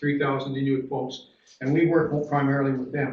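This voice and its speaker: In a Newfoundland accent, a man with a fairly high pitch speaks fairly quickly in a flat monotone, with audible room echo. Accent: Newfoundland Canadian English. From Newfoundland, Canada (Corner Brook). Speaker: dean of education. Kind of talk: conference panel talk. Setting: conference panel with audience. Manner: halting, many fillers and repeats.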